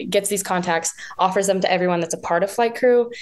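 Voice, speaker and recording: A woman with a normal speaking voice and an American accent talks at a medium pitch. Her intonation is fairly even over a quiet background. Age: young. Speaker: professional jump roper. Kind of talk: interview.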